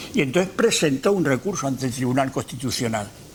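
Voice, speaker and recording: Noticeable background noise sits behind the voice. The man's intonation is lively. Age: 70s. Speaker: retired university rector. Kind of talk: lecture. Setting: lecture hall with audience. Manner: halting.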